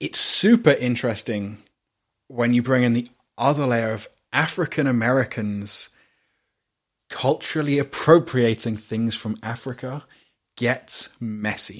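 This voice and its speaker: A man speaks at a fairly slow pace, with long, frequent pauses. His voice sits at a medium pitch with ordinary pitch variation, on a very clean recording with a silent background. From UK. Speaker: podcast host. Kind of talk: casual chat.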